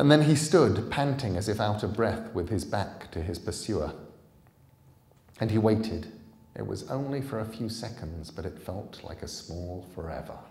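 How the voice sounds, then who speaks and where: There is audible room echo as a man talks at a moderate pace in a fairly low voice. His intonation is lively, with big swings in loudness. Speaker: author reading his own book. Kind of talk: live audiobook reading. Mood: calm, suspenseful storytelling. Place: hall. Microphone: podium.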